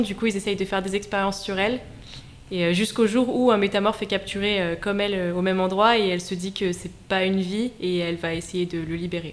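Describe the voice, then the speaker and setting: A woman with a medium pitch talks at a moderate pace in a monotone, flat intonation. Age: 20s. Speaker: debut novelist. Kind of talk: radio interview. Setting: radio studio.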